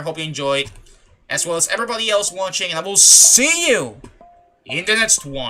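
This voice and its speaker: With a raised, projected voice and lively intonation, a man talks at a high pitch and a fairly quick pace. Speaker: gaming streamer. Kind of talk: live gameplay commentary. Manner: low-energy, subdued.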